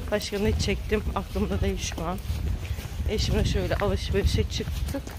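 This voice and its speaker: Recorded with a dry sound and no echo but noticeable background noise, a man talks at a fairly slow pace. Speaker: home vlogger. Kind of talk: casual vlog chat. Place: street. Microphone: phone near.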